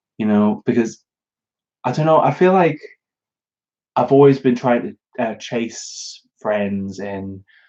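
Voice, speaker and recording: A man with a British accent, medium-pitched with a dark, mellow tone and lively intonation, at a very slow pace broken by long, frequent pauses. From northern England, Newcastle upon Tyne area. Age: 20s. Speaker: YouTuber. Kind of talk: live Q&A stream. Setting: live stream. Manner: halting, many fillers.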